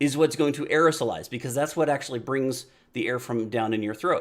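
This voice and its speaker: A man talks loudly. The recording is very clean, with a silent background. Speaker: video podcast host. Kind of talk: casual monologue. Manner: conversational.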